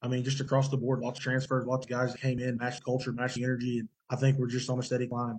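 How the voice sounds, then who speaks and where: A somewhat breathy man speaks with an American accent. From western Oklahoma (Custer County). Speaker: college football player. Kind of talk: casual interview. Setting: video call.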